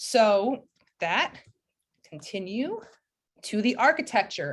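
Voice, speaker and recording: Against a quiet background, the voice is somewhat breathy with lively intonation. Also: woman. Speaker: presenter. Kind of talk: presentation.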